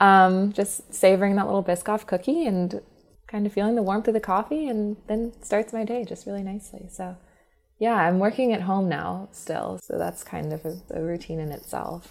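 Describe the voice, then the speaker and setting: At a moderate pace, a woman with an American accent speaks at medium pitch with ordinary pitch variation. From US South. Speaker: startup founder. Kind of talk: interview.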